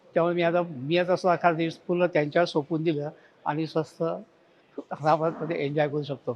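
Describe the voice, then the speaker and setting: This is a man speaking. His voice is high-pitched. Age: 70s. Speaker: retired maths and science teacher. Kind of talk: client testimonial.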